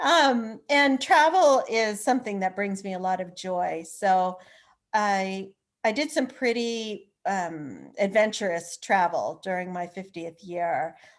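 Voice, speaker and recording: Over a quiet background, a woman speaks very slowly with lively intonation. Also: medium pitch for a woman. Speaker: author and attorney. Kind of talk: interview conversation.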